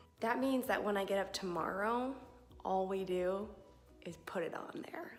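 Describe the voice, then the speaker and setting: Moderate-paced speech with audible room echo and music in the background. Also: woman. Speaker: craft video creator. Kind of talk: DIY tutorial vlog. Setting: garage workshop.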